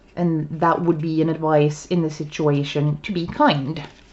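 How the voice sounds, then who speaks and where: Her intonation stays fairly even at a very slow pace. The woman's voice is very deep and low in pitch. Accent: Swedish. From Sweden. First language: Swedish. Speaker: tarot reader. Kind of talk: casual chat. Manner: halting. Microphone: poor sound quality.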